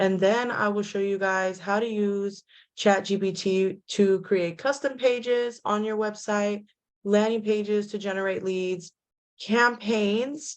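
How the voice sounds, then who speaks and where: A woman at medium pitch, fairly slow and fairly even in intonation, against a quiet background. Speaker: real estate tech trainer. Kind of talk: webinar tutorial. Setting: video call from home. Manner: loud.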